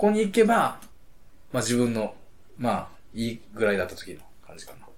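A man speaks at a moderate pace with big swings in loudness and long, frequent pauses, and audible room echo surrounds him. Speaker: podcast co-host. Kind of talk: casual chat.

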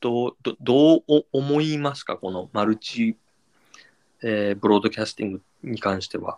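A man speaks at a medium pitch, his loudness rising and falling sharply, in a dry, close recording with no echo. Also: ordinary pitch variation, moderate pace. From Japan. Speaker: podcaster. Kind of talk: casual chat. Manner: light, breezy.

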